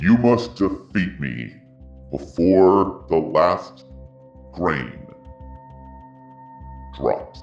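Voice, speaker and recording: A man puts on a booming character voice, very deep and low, speaking at a very slow pace with long, frequent pauses while faint music plays in the background. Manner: challenging.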